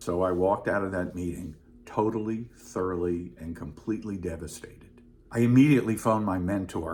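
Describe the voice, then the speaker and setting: Ordinary pitch variation runs through this somewhat breathy voice, which keeps a moderate pace. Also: man. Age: 70s. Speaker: retired comedy writer. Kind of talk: personal storytelling to camera.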